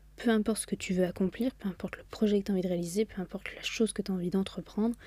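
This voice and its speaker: A woman speaks at a medium pitch with a dark, mellow, somewhat breathy tone. Her pace is fairly quick and her intonation fairly even. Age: 20s. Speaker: podcast host. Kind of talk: solo motivational monologue. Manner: casual, chatty.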